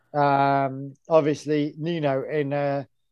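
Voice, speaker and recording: A man speaks with an English accent. His voice is fairly high. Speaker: podcast co-host. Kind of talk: casual chat. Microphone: no headphones, may sound poor.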